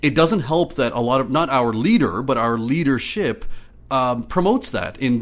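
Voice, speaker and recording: With an Ontario accent, a man speaks at a moderate pace. His pitch is medium, and his intonation is lively. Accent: Canadian English (Ontario). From Ottawa, Ontario, Canada. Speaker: community organizer. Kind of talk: casual interview.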